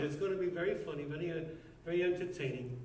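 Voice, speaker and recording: A man with an American accent at a moderate pace, with audible room echo and noticeable background noise. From New York (Brooklyn). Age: 70s. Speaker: rabbi. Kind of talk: speech at own birthday party.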